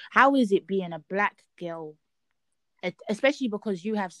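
A woman speaks in a London accent with lively intonation and a medium pitch. The pace is moderate, and the sound is dry and close with no echo. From East London, Nigerian heritage. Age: young. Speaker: podcast host, law student. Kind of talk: casual chat.

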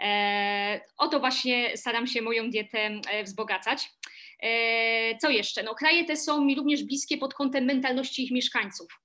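With a bright, sharp tone, a woman speaks high in pitch at a fairly slow pace with ordinary pitch variation. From Silesia, Poland. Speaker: tour guide. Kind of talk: interview. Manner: hesitant with fillers.

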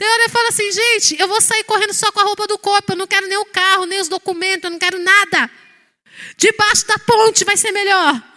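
In a raised, projected voice with an extremely high pitch and a bright, sharp tone, a woman speaks at a fairly quick pace, the sound dry and close with no echo. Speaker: pastor. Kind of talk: sermon. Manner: animated.

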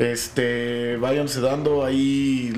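With a Mexican accent, a man speaks at a fairly high pitch amid audible room echo and background music. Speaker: podcast host. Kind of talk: casual chat.

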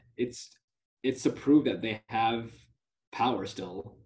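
With ordinary pitch variation, a man talks in a somewhat breathy voice with a dark, mellow tone. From US (Dallas), moved from Telangana, India at age 4-5. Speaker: university student. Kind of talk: casual interview discussion.

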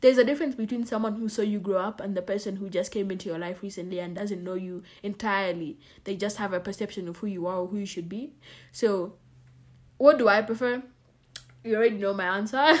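A woman talks at a very fast pace with a medium pitch and ordinary pitch variation. The recording is very clean, with a silent background. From Kenya. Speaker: podcast host. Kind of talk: casual solo podcast monologue.

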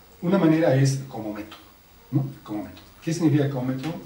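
A man talking very fast at a medium pitch can be heard through noticeable background noise. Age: 50s. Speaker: sociologist. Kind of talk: interview.

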